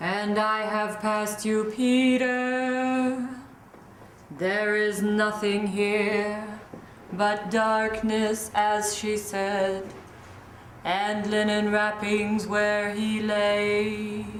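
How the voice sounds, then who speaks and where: A woman's put-on character voice at medium pitch, very slow in pace, with monotone, flat intonation and clear echo. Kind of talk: poetic stage verse. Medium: stage play.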